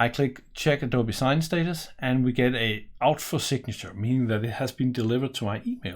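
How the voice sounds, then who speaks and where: A man with a Danish accent speaks at a moderate pace, somewhat breathy. The background is quiet. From Denmark. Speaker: software presenter; software demonstrator. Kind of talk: tutorial. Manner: casual, with fillers. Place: home room.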